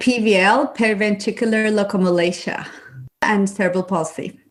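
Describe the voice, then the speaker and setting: Speaking with a non-native accent, a woman keeps her intonation fairly even. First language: Turkish. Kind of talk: interview. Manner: halting.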